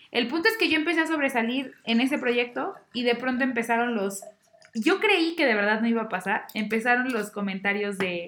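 Against noticeable background noise, a woman speaks at a moderate pace with a high pitch and lively intonation. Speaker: podcast guest, bank employee. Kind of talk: casual chat.

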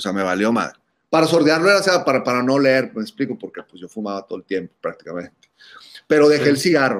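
Racing along at a very fast pace, a man's voice makes very wide pitch swings. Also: medium pitch for a man. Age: 40s. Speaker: musician and cannabis podcaster. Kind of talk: casual chat.

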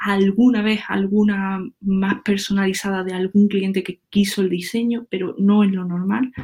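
At a fairly slow pace with hardly any pauses, a woman speaks in a medium pitch, her dark, mellow tone somewhat breathy and her intonation monotone and flat, on a very clean recording with a silent background. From Andalusia, Córdoba countryside. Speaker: web developer. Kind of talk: casual interview chat.

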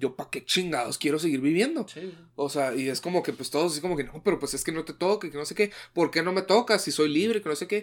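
A man with a Mexican accent and a high pitch talks at a very fast pace in a very clean recording with a silent background. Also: ordinary pitch variation, hardly any pauses. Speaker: podcast co-host. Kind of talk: casual chat.

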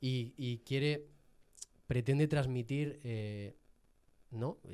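A man speaks at a very slow pace, his medium-pitched voice keeping fairly even intonation. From Jaén, Andalusia, Spain. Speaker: podcast guest. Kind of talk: casual chat. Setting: studio.

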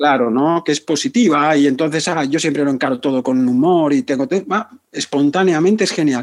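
The man speaks in an unremarkable speaking voice with a fairly high pitch. His pace is fairly quick, and his pitch varies in an ordinary way. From Spain, Barcelona outskirts. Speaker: psychotherapist. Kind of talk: interview.

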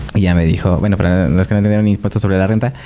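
A man speaks in a dark, mellow tone. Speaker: podcast co-host. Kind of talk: casual chat.

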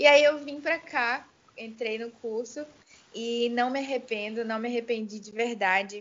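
With an ordinary speaking voice, a woman talks fairly slowly at a fairly high pitch, her pitch varying in an ordinary way and her loudness swinging widely. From Amazonas, Brazil (Itacoatiara). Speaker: singer-songwriter and music teacher. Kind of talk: interview.

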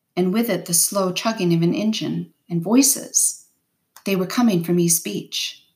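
An unforced reading voice, with ordinary pitch variation, sits over a quiet background.

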